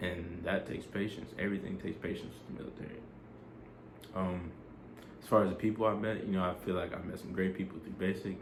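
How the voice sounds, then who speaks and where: A man with a very deep, low, somewhat breathy voice speaks at a very fast pace with fairly even intonation. He leaves long, frequent pauses, and audible room echo is present. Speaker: army soldier vlogger. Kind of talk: casual vlog advice. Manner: casual, filler-heavy.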